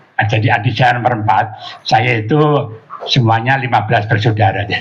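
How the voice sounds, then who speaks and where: A man speaks over noticeable background noise. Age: 80s+. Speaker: Islamic preacher. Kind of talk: religious talk. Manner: halting, many fillers.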